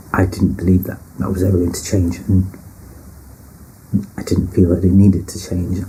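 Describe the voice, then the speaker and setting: Amid noticeable background noise and audible room echo, a man speaks in a very deep, low voice with monotone, flat intonation. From northern England, British Pakistani. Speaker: personal storyteller. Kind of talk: personal testimony.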